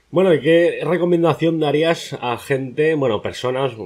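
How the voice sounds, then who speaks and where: A man's speech shows ordinary pitch variation, and the background is quiet. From Spain. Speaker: youtuber, interviewer. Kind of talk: interview. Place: home room.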